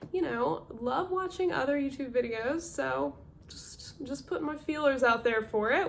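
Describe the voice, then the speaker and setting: A woman speaks with a North Carolina accent. Her intonation is lively and her pace fairly slow. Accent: Southern US, North Carolina. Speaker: part-time clothing reseller. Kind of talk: casual talk to camera, thrift haul.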